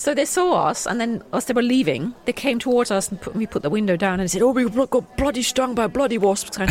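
Talking at a fairly quick clip with hardly any pauses, a woman uses a fairly high pitch and lively intonation over noticeable background noise. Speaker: podcast co-host and voice actor. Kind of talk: casual chat.

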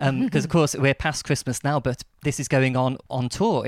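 Speaking at a fairly high pitch, a man is heard. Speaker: podcast host. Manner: fast talker.

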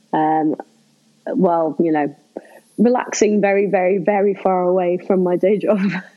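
A woman with a Liverpool accent talks at medium pitch and a moderate pace, her loudness very even. She leaves long, frequent pauses. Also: fairly even intonation. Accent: Liverpool (Scouse) English. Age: 30s. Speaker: comedian and burlesque performer. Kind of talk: casual chat.

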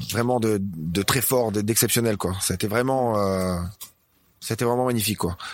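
Keeping very even loudness and fairly even intonation, a man speaks in a plain, everyday voice at a fairly low pitch. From northern France, Dunkerque. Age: 40s. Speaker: CrossFit gym owner. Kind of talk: casual interview.

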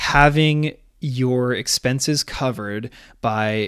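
Here is a man with an unremarkable speaking voice at medium pitch. His pitch varies in an ordinary way, and the recording is very clean with a silent background. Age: 30s. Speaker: podcast host and real estate agent, former Olympic rower. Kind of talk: solo podcast monologue.

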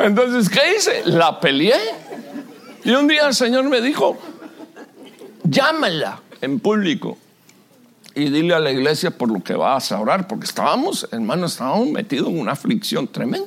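Through noticeable background noise, a man with a high pitch and very wide pitch swings talks at a fairly slow pace with long, frequent pauses. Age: 60s. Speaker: pastor. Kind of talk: sermon. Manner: animated.

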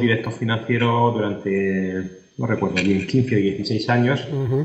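A man of medium pitch speaks at a fairly slow pace with fairly even intonation. Audible room echo is present. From Spain, Murcia. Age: 40s. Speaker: food company executive. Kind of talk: interview. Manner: halting.

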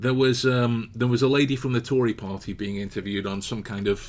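A man with an English accent at a fairly quick pace. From England. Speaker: podcast co-host, author. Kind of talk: casual chat. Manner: animated.

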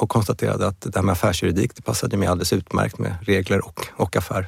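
A man talks at a very fast pace. His voice is very deep and low. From Sweden, Stockholm. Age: 50s. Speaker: law firm CEO and lawyer. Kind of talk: interview conversation.

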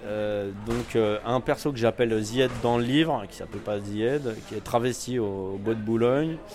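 With noticeable background noise, a man speaks at a fairly slow pace with hardly any pauses, his medium pitch fairly even in intonation while his loudness swings widely. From Paris suburbs, Val-de-Marne. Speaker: writer. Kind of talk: casual interview. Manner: hesitant, many fillers.

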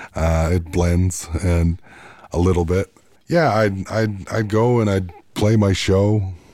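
Recorded very cleanly against a silent background, a man with a Manitoba accent speaks very slowly in a very deep, low voice with a dark, mellow tone, fairly even intonation and very even loudness. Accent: Canadian, Manitoba. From Canada, Manitoba, Peguis First Nation. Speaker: singer-songwriter. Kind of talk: casual interview. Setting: studio.

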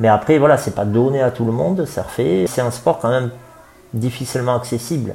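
At a moderate pace, a man talks in a medium pitch with ordinary pitch variation over noticeable background noise. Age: 40s. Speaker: surf club director. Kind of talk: interview. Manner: halting, many fillers.

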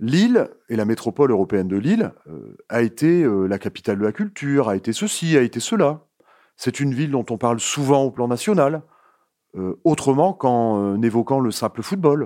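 With lively intonation and a dark, mellow tone, a man speaks at a medium pitch and moderate pace in a dry, close sound with no echo, on a very clean recording with a silent background. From Nord-Pas-de-Calais, France. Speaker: sociologist. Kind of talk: interview. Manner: hesitant with fillers.

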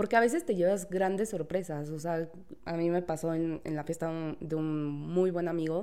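A woman speaks at a fairly slow pace, fairly low in pitch with a dark, mellow tone and fairly even intonation. The recording is very clean, with a silent background. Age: 30s. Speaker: legal office assistant. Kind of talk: casual chat.

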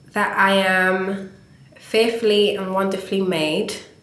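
With audible room echo and noticeable background noise, a woman speaks at a fairly slow pace in a monotone, flat intonation. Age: 20s. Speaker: visual artist. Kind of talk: interview. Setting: meeting room in London.

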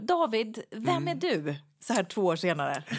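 A woman's fairly high voice with very wide pitch swings and vocal fry. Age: 40s. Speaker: podcast co-host. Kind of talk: casual chat.

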